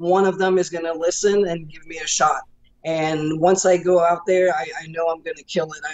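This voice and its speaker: A woman's fairly low voice at a moderate pace, fairly even in intonation but with big swings in loudness, over noticeable background noise. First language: French. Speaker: professional wrestler. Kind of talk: interview.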